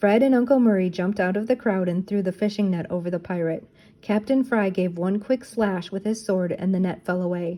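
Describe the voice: Ordinary pitch variation in plain reading aloud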